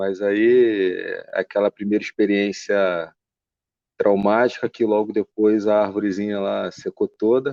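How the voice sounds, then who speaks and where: A man speaks at a fairly slow pace in a strong Carioca accent, his pitch fairly low. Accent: carioca accent with strong hissing s. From Rio de Janeiro, Brazil. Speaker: bonsai enthusiast, engineer. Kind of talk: podcast interview.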